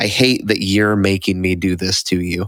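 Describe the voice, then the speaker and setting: In a very clean recording with a silent background, a man puts on a character voice that is very deep and low in pitch, with monotone, flat intonation at a moderate pace. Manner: stern, angry.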